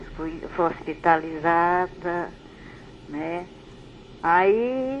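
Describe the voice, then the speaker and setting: A woman talks with a fairly low pitch. Noticeable background noise runs under her voice. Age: 80s+. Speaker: radio caller. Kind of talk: phone-in question.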